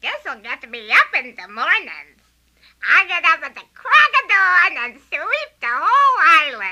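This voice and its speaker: A female-sounding voice uses a put-on character voice at an extremely high pitch. It moves fairly slowly with very wide pitch swings. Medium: audio drama. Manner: lively, eager.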